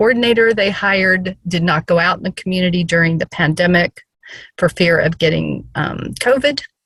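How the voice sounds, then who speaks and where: At a moderate pace, a woman with a Southern US accent speaks with ordinary pitch variation. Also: dry, close sound with no echo. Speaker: case presenter in a professional training session. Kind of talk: case presentation in an online training session.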